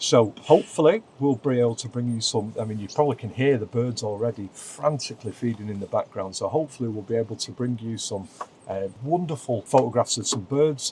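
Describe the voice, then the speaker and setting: This man speaks at a medium pitch and a fairly quick pace, with ordinary pitch variation. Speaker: wildlife photographer and vlogger. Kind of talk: casual vlog narration. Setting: inside a wildlife photography hide. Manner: quiet, speaking softly.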